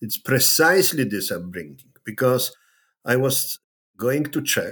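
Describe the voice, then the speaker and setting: A man talks with a Polish accent at medium pitch. He goes at a fairly slow pace. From Poland. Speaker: political science professor. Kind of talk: interview. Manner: halting.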